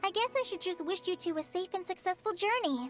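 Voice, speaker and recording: A woman's put-on character voice, squeaky and extremely high, at a fairly quick pace over clear background music. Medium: game stream.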